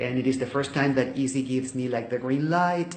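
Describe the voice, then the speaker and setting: A man with a Spanish accent speaks at medium pitch with ordinary pitch variation. Noticeable background noise and audible room echo fill the recording. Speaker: volunteer video teacher. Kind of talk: testimony. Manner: halting.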